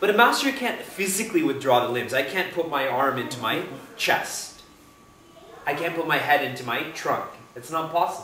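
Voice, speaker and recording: Through audible room echo and noticeable background noise, a man with a fairly high pitch speaks at a moderate pace, his pitch swinging very widely. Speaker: spiritual teacher. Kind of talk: spiritual discourse. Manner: conversational, engages audience with questions.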